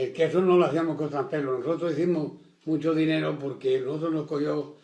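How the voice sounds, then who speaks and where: At a fairly quick pace, a man speaks with a dark, mellow tone, a fairly high pitch and monotone, flat intonation. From Extremadura, Spain. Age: 80s+. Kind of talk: oral history interview answer.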